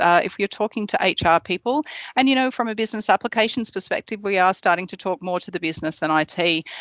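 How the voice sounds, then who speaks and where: A woman with an Australian accent, very fast in pace, with ordinary pitch variation. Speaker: product specialist. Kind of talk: webinar presentation. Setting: online webinar. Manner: hesitant with many fillers.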